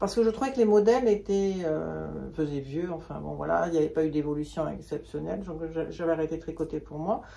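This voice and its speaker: At a fairly quick pace, a woman speaks in a very deep, low pitch with ordinary pitch variation over noticeable background noise. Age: 60s. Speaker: knitting hobbyist and shop customer. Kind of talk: casual interview chat.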